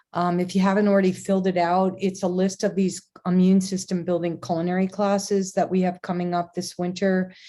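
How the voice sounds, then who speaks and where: Her tone dark and mellow, a woman speaks at medium pitch and a fairly quick pace in monotone, flat intonation. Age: 60s. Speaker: podcast host and wellness teacher. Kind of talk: casual chat. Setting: video call. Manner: halting.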